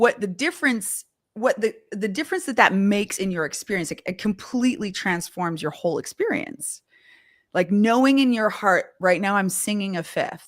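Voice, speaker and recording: In a Canadian accent, a normal speaking voice moves at a moderate pace with lively intonation, in a very clean recording with a silent background. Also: woman, medium pitch for a woman. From Canada. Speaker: vocal coach and live show host. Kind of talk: live stream interview chat. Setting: live stream.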